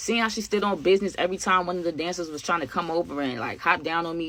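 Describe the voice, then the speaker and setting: An animated woman with a fairly low pitch speaks at a very fast pace against noticeable background noise. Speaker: storytime YouTuber. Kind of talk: storytime monologue.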